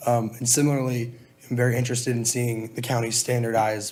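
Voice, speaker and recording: Speaking very fast in a flat monotone, a man holds a medium pitch. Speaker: college student and volunteer firefighter. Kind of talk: public comment at meeting. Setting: public board meeting. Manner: hesitant, many fillers.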